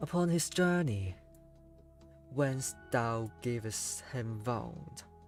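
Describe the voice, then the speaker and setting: A man's medium-pitched voice with very wide pitch swings at a very slow pace, long, frequent pauses, and music in the background. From Hong Kong. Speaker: VTuber. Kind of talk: poetry reading. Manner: slow, calm.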